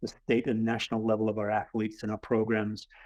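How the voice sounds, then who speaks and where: A man with a slight English accent at medium pitch and a fairly quick pace, in a dry, close sound with no echo and a quiet background. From England. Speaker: athletic director. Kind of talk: webinar presentation.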